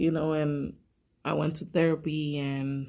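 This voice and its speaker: Someone with a Spanish accent speaks at a fairly slow pace on a very clean recording with a silent background. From Puerto Rico. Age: 30s. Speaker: vlogger. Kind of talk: personal vlog. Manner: halting.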